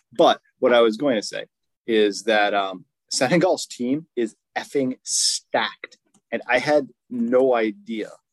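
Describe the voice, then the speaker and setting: In a dry, close sound with no echo, a man with a plain, everyday voice talks at a fairly slow pace and medium pitch, with ordinary pitch variation. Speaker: podcast host. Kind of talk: casual banter about fantasy football draft.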